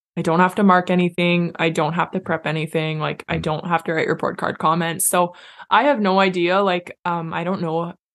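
This woman speaks at a fairly quick pace in a normal speaking voice, fairly low in pitch with fairly even intonation, against a quiet background. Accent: Canadian. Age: 20s. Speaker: teacher. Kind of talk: casual chat.

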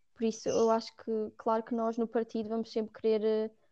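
In a European Portuguese accent, a woman talks at a moderate pace with a fairly high pitch and a dark, mellow tone against a quiet background. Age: 20s. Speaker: psychology student, party member. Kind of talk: casual chat.

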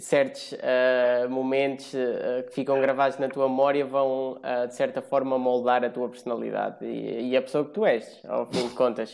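His intonation monotone and flat, a man talks at a moderate pace. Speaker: podcast host. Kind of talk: casual chat.

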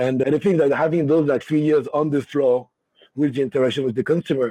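A man with a French accent speaks in a fairly high pitch with a dark, mellow tone, the sound dry and close with no echo. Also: quiet background. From Paris, France. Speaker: cognac brand ambassador and bar owner. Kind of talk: casual interview. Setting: video call.

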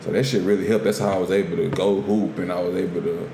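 With noticeable background noise and audible room echo, a man talks at a very fast pace with lively intonation. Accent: American. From US. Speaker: podcast co-host. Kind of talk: casual chat.

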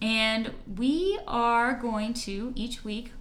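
There is audible room echo as a woman talks at a high pitch. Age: 30s. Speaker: podcast host. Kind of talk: casual chat.

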